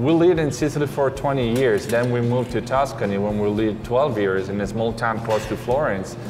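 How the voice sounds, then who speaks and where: The intonation stays fairly even while clear music plays in the background. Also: man. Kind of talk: interview answer. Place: cafe.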